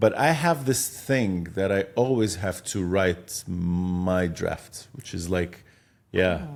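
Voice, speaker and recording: In an Arabic accent, a man speaks at a very slow pace in a very deep, low voice with ordinary pitch variation. The recording is very clean, with a silent background. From Egypt. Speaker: film director and producer. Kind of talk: podcast interview.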